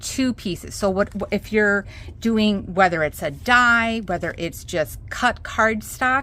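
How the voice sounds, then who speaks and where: With a Minnesotan accent, a woman speaks at a fairly slow pace in a medium pitch, her tone bright and sharp, with vocal fry. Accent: Minnesota. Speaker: craft tutorial host. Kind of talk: tutorial. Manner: casual, chatty with fillers.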